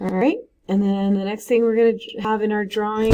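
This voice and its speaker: With an ordinary speaking voice, a woman talks at a fairly high pitch and with fairly even intonation. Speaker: art teacher. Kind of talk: tutorial.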